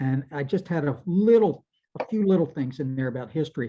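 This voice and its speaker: A man with an American accent speaks fairly quickly in a dark, mellow, somewhat breathy tone. His pitch swings very widely, and the background is quiet. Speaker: entomologist, invited speaker. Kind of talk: Q&A after a talk.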